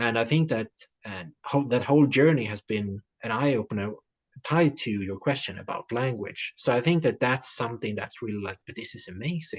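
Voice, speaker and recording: In a dry, close sound with no echo, a man with a Swedish accent talks at a fairly quick pace, with ordinary pitch variation and big swings in loudness. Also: medium pitch for a man. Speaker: writer. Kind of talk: interview. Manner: halting, many fillers and repetitions.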